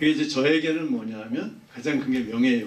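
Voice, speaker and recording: Noticeable background noise and audible room echo surround the speaker. He is a man at medium pitch with ordinary pitch variation. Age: 60s. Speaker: professor. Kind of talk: Q&A talk at a book event. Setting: lecture room with audience. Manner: halting, with many fillers.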